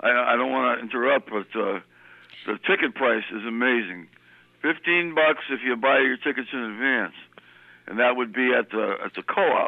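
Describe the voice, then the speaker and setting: In an American accent, a man talks at a moderate pace in an unremarkable speaking voice, medium in pitch with ordinary pitch variation. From New Britain, Connecticut. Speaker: caller. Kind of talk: casual chat. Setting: phone call.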